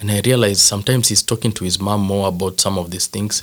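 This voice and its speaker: In a very clean recording with a silent background, a man with a Kenyan accent speaks at a fairly low pitch with ordinary pitch variation. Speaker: father and former youth pastor. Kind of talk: casual interview chat.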